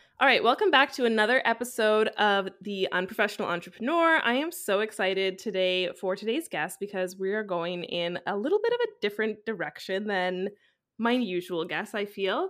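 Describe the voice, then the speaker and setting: In an unremarkable speaking voice, a woman with a Canadian accent talks at medium pitch and a fairly quick pace, with lively intonation and hardly any pauses. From Canada, Vancouver. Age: 20s. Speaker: podcast host, marketing mentor. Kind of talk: casual interview chat.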